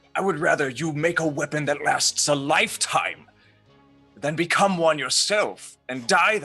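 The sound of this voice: Over faint music in the background, a man in a put-on character voice speaks at a fairly slow pace, gravelly with vocal fry and a slightly husky edge, his tone bright and sharp, his pitch fairly high and his intonation lively.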